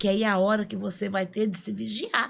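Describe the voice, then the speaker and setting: An animated woman at a medium pitch, on a very clean recording with a silent background. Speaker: podcast co-host, speaker. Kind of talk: casual podcast conversation.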